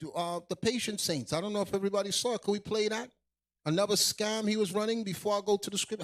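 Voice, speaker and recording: A loud, high-pitched man's voice at a very fast pace, dry and close with no echo. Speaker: livestream show host, religious teacher. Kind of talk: livestream show hosting. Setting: livestream video call.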